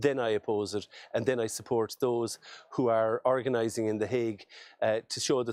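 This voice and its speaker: Fairly quick and fairly even in intonation, a man with an Irish accent speaks at medium pitch. The recording is very clean with a silent background, and the sound is dry and close with no echo. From Ireland. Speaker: politician. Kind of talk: video message speech. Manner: halting.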